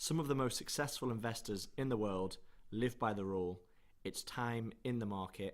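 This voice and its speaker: Here is a speaker with a British accent. The pitch varies in an ordinary way. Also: man, medium pitch for a man, moderate pace. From UK. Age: young. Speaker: investing channel co-host. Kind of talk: scripted presentation.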